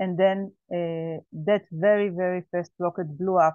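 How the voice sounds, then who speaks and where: A woman speaks at a fairly slow pace in a fairly low pitch with an Israeli accent, her intonation monotone and flat. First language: Hebrew. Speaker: survivor, farmer. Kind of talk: testimony. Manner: halting.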